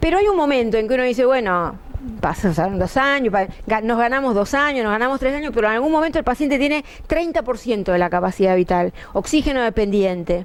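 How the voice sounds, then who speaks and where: With very even loudness, a woman speaks very fast in a fairly high voice with lively intonation over noticeable background noise. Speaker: pulmonologist. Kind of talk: medical lecture. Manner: conversational, with filler hesitations.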